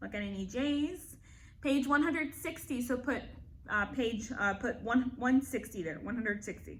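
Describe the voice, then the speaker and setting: Loud and animated, a woman speaks at a high pitch with lively intonation. Her pace is moderate. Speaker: elementary school teacher. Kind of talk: online lesson.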